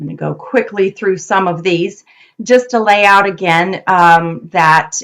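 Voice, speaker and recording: A woman talks in an unremarkable speaking voice at a medium pitch, with fairly even intonation. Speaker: nonprofit program director and research presenter. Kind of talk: presentation on research. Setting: video call.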